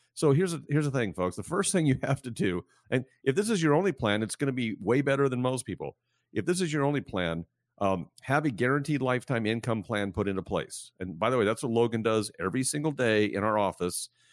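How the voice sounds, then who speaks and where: Spoken at a very fast pace with lively intonation, the voice sounds dry and close with no echo on a very clean recording with a silent background. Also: man, medium pitch for a man. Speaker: financial advisor. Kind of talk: radio show discussion. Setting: radio studio.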